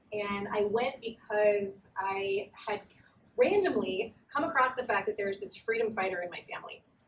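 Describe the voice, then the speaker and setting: Over noticeable background noise, a woman talks at a moderate pace in an American accent. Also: big swings in loudness. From Southern California. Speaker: writer and researcher. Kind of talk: academic talk. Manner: hesitant, many fillers.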